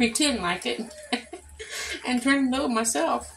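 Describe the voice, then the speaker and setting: A woman's voice amid noticeable background noise. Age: 60s. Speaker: home cooking vlogger. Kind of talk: cooking tutorial. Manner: casual, chatty.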